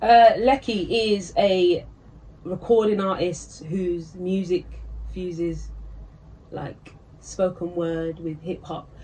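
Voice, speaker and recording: In a UK accent, a woman speaks at a very slow pace with long, frequent pauses. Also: fairly low pitch for a woman, ordinary pitch variation, big swings in loudness. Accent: own UK accent, embraced. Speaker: recording artist and rapper. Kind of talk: casual interview chat. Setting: studio.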